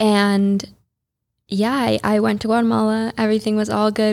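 On a very clean recording with a silent background, a woman with an American accent speaks at a moderate pace. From US Midwest, Chicago suburbs. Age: 20s. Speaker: yoga teacher and influencer. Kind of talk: interview. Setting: studio.

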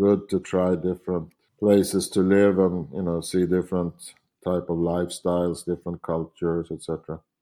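In a Swedish accent, a man speaks at a moderate pace with a very deep, low pitch and a dark, mellow tone. His intonation is monotone and flat, and the recording is very clean with a silent background. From Sweden, Stockholm. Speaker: painter. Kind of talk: interview.

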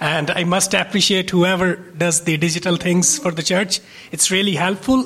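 Noticeable background noise sits behind a man speaking at a moderate pace in a high voice. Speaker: church member. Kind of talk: testimony. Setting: church.

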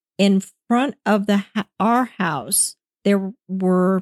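A woman's medium-pitched voice with an American accent and ordinary pitch variation, an unremarkable speaking voice, dry and close with no echo. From Virginia, US (Falls Church). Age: 50s. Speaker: paranormal witness. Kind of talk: casual chat.

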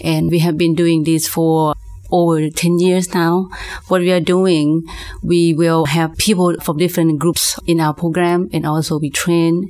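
A woman with a Lao accent talks at a moderate pace in a fairly low pitch, her intonation monotone and flat. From Laos. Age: 40s. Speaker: minister. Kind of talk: testimony.

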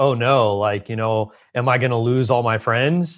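A man talks against a quiet background. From Southern California. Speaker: Ayurvedic doctor. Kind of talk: interview conversation. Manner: calm.

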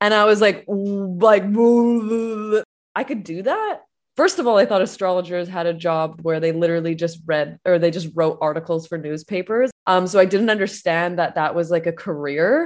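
A woman's ordinary speaking voice, medium in pitch, moves at a moderate pace with ordinary pitch variation. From Canada. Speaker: astrologer and spiritual business coach. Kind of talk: casual interview chat.

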